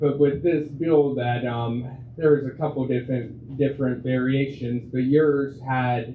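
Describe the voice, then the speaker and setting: Speaking with an American accent, a man uses a medium pitch and a fairly slow pace. His intonation is monotone and flat, with audible room echo. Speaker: county commissioner. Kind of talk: audience question. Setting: breakfast meeting with audience. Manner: loud.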